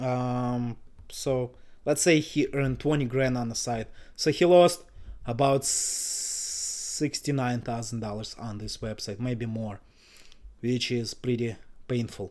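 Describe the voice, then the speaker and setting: A man mumbles at a very slow pace and medium pitch with ordinary pitch variation, in a very clean recording with a silent background. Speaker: website investor YouTuber. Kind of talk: screen-share tutorial commentary. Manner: mumbling; casual, filler-heavy.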